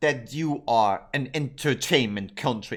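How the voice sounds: A man speaks at a fairly slow pace with a fairly bright tone. His intonation is lively.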